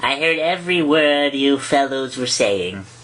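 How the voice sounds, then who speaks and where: A hoarse, put-on character voice with a low-to-middle pitch moves at a moderate pace over light background noise. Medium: read story. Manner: sleepy, slow.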